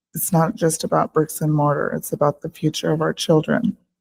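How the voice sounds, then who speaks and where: With an American accent, this speaker talks at a moderate pace with vocal fry in a dry, close sound with no echo. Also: woman. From Yakima, Washington, US Pacific Northwest. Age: 60s. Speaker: paraeducator and union vice president making public comment. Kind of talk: prepared public comment speech. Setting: school board meeting. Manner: formal.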